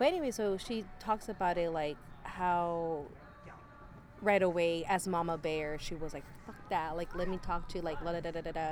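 In a normal speaking voice, a woman with an American accent talks at a moderate pace. Her pitch is fairly low, with fairly even intonation. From Northern California. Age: 30s. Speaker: podcast guest. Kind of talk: casual chat.

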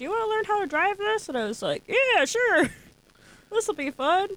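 A put-on character voice is used here, pitched extremely high. The delivery keeps a moderate pace. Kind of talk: folksy, casual. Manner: easygoing.

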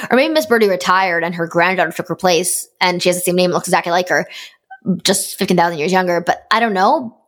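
A woman talks at a very fast pace. Her medium pitch shows ordinary pitch variation. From Canada. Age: 20s. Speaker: podcast host and fan game staff member.

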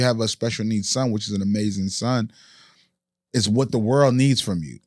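A man with a normal speaking voice, a fairly quick pace and ordinary pitch variation, on a very clean recording with a silent background. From immigrant to US in childhood. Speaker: podcast host. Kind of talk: podcast interview. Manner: joking, playful.

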